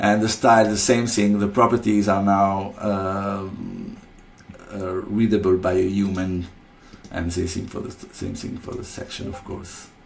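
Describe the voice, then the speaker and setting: A man talks at a fairly slow pace in a fairly low, monotone voice with flat intonation. His loudness swings widely, and room echo is audible. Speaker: software developer presenting product features. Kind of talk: screen-recorded software tutorial. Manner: halting, many fillers and repeated words.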